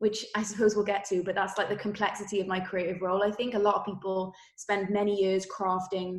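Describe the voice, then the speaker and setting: In a Welsh accent, a woman speaks at a fairly quick pace with a medium pitch. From Wales. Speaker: creative director. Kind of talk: interview. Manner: many fillers and restarts.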